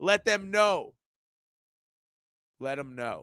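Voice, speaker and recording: A man's raised, projected voice at a high pitch, animated and with a bright, sharp tone, at a moderate pace, in a dry, close sound with no echo. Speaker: sports podcaster. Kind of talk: casual chat.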